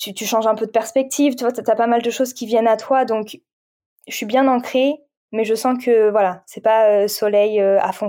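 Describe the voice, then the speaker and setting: A woman's fairly high voice of dark, mellow tone, at a moderate pace with fairly even intonation. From France. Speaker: meditation coach and Reiki practitioner. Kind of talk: casual chat. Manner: halting.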